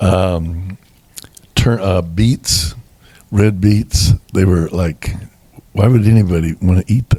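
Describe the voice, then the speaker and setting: Very deep and low, a man's somewhat breathy voice carries a dark, mellow tone and an American accent, with ordinary pitch variation, a very slow pace and long, frequent pauses. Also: very even loudness. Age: 70s. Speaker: bishop and pastor. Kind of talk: interview testimony. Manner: halting.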